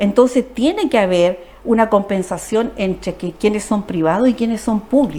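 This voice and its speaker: With noticeable background noise behind her, a woman speaks at a moderate pace with hardly any pauses, using a fairly high pitch and ordinary pitch variation. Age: 60s. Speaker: social worker, politician. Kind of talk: TV interview.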